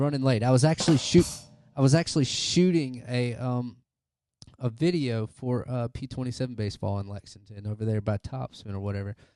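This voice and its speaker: A man with an American accent speaks at a fairly quick pace, his pitch medium and its variation ordinary. His loudness swings widely, and music plays in the background. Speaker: podcast host. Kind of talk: casual chat.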